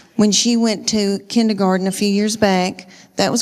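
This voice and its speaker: A woman with a Southern US accent, monotone and flat, at a moderate pace. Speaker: stand-up comedian. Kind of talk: stand-up comedy routine. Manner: folksy storytelling.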